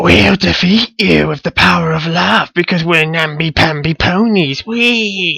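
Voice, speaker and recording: A put-on character voice, raspy and fairly slow, with hardly any pauses and a dry, close sound free of echo. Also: man, high pitch for a man. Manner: mocking, sing-song.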